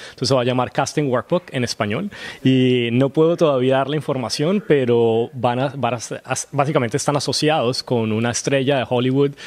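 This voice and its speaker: At a fairly quick pace, a man with an ordinary speaking voice talks at medium pitch with ordinary pitch variation. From Colombia. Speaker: actor. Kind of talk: interview.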